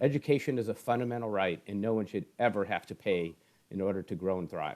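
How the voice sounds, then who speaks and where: A man's fairly low voice with an American accent, ordinary pitch variation and a very fast pace. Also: very clean recording, silent background. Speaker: esports education foundation executive. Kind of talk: interview.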